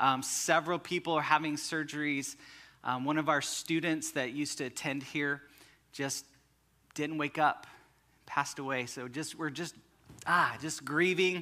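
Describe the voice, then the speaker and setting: A man speaks in a flat monotone with a bright, sharp tone. Long pauses come often. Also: moderate pace. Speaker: pastor. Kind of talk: sermon. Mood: somber then warm. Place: church.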